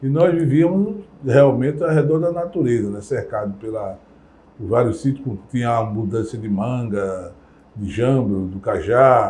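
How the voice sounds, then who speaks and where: Medium in pitch with ordinary pitch variation, a man's somewhat breathy voice has a dark, mellow tone and moves at a moderate pace. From Brazil, Recife (Pernambuco). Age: 60s. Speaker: community elder. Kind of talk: interview testimony.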